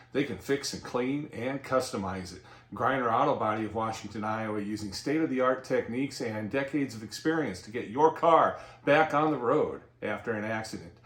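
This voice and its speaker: Against noticeable background noise, a man at medium pitch talks at a fairly quick pace with ordinary pitch variation and big swings in loudness. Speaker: local TV show host. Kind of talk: sponsor announcement read.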